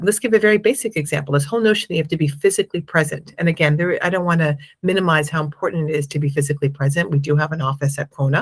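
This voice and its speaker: This woman sounds somewhat breathy, speaking with an American accent and ordinary pitch variation. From United States. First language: Spanish. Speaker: impact investment fund manager. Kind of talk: interview.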